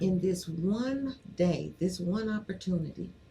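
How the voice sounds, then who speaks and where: With an American accent, a woman speaks in a medium pitch with a dark, mellow tone, somewhat breathy, and lively intonation. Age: 60s. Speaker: former state senator and cannabis activist. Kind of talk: casual chat interview.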